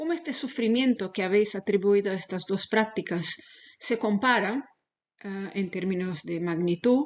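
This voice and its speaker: A woman in a Portuguese accent, with lively intonation. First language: Portuguese (speaking Spanish). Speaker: animal welfare researcher. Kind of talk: lecture. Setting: webinar video call. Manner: halting.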